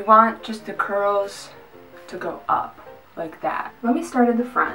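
A woman speaks at a fairly slow pace with big swings in loudness. Faint music plays in the background. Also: ordinary pitch variation. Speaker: vlogger. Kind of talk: casual vlog chat. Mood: playful, sarcastic. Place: bathroom. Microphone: camera far.

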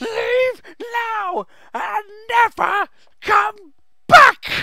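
Whiny, put-on character voice from a man, extremely high in pitch. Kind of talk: character impression. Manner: hissing, whiny, agitated.

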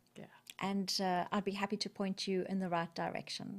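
A woman at a fairly quick pace against a quiet background. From South Africa, Natal; South Africa. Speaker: corporate business leader and entrepreneur; interview guest. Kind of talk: interview. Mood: warm, reflective. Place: studio. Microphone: studio mic.

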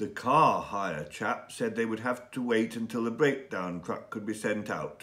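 An unforced reading voice carries the clip.

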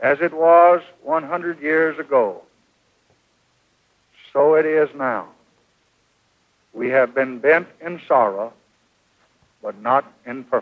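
Speaking at a very slow pace with long, frequent pauses, a man uses ordinary pitch variation against a quiet background. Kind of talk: memorial speech. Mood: solemn, mournful.

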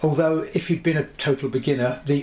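Fairly even intonation runs through a man's fairly quick speech. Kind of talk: tutorial. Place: home room.

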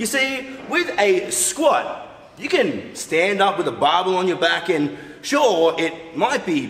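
A man speaks in a room with audible echo. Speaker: fitness coach. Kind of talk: tutorial. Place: studio.

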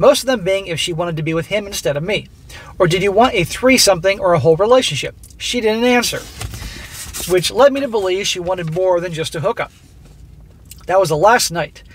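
At a fairly quick pace, a man talks in a high-pitched voice, recorded with a dry sound and no echo. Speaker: commentator reading a story. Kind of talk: reading a story aloud and commenting on it. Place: car. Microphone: phone near.

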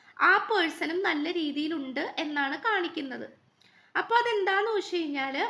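The voice is raised and projected, with a bright, sharp tone. Its intonation is lively. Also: woman, extremely high pitch for a woman. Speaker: tarot card reader. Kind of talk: tarot reading monologue.

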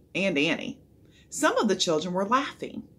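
The voice reads naturally. Intonation moves in a lively way.

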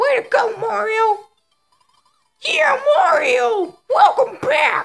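In a put-on character voice pitched extremely high, the speaker talks at a very slow pace while faint music plays in the background. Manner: cheering.

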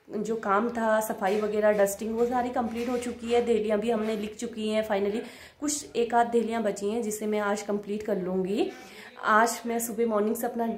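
A woman's fairly high, flat monotone at a moderate pace, with audible room echo and light background noise. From Uttarakhand, Nainital district (Kotabagh); Uttarakhand. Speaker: vlogger. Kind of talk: casual vlog narration. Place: home room. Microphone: phone near.

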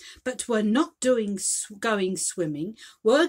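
An unforced reading voice. Its pitch rises and falls in an ordinary way.

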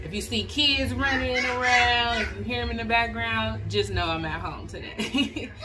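Background noise is noticeable. A woman speaks at a moderate pace. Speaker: crafting vlogger. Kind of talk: casual vlog chat. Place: kitchen. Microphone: phone near.

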